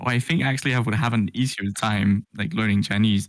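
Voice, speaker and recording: With a Danish accent, a man speaks at a moderate pace and medium pitch on a very clean recording with a silent background. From Denmark. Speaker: vtuber. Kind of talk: interview.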